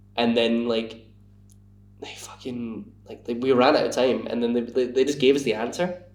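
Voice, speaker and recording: Audible room echo surrounds a man who speaks with a Scottish accent and fairly even intonation. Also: medium pitch for a man, moderate pace, big swings in loudness. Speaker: podcast guest. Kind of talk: casual chat. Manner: halting.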